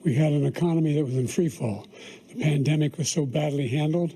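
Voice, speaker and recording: A somewhat breathy voice at a fairly quick pace. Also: man. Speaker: president. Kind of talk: debate answers.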